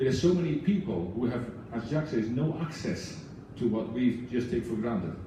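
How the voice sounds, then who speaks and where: Over noticeable background noise and audible room echo, a man speaks at a medium pitch. His intonation is lively and his pace moderate. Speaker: book club volunteer. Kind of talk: speech to audience. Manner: halting.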